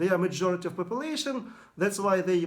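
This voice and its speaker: Here a man speaks with a Russian accent. His voice is high, with ordinary pitch variation. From Bashkortostan, Russia. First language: Bashkort or Russian. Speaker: language activist. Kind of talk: video monologue. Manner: halting, many fillers.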